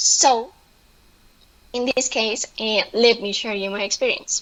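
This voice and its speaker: A woman with a Spanish accent and a fairly high pitch talks at a fairly slow pace with fairly even intonation over noticeable background noise. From Colombia. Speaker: presenter. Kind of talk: online presentation. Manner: halting, many fillers.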